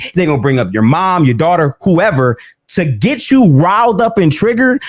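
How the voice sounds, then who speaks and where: A man at a moderate pace with very wide pitch swings, in a dry, close sound with no echo on a very clean recording with a silent background. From Detroit, US Midwest. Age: 20s. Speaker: basketball content creator. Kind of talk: commentary on replayed debate. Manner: animated.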